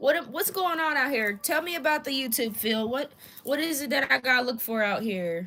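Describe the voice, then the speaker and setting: Raising and projecting her voice, a woman with an American accent speaks at a moderate pace, high in pitch and lively in intonation. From Indianapolis, Indiana. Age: 20s. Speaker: streamer. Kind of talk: casual live stream chat. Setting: live stream. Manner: halting, repeats words.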